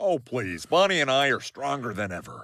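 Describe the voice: Using a cartoonish character voice, a man speaks at a moderate pace and a medium pitch, his pitch swinging very widely.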